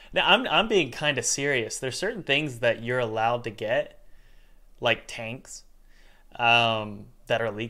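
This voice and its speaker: Speaking with an American accent, a man uses a medium pitch, a bright, sharp tone and ordinary pitch variation at a fairly slow pace. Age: 30s. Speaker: podcast host and game developer. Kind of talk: casual chat.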